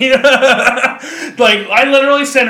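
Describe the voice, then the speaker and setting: The voice belongs to a man. He projects it loudly, well above normal volume. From Kentucky. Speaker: podcast host. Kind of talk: casual chat.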